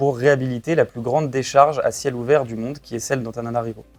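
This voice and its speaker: Music plays behind a man who speaks at a fairly quick pace, with a medium pitch and fairly even intonation. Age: 20s. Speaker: startup co-founder. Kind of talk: interview. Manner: hesitant, frequent fillers.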